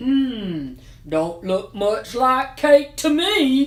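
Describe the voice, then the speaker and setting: This is a put-on character voice pitched high. The delivery is very slow. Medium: read story. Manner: doubtful, drawling.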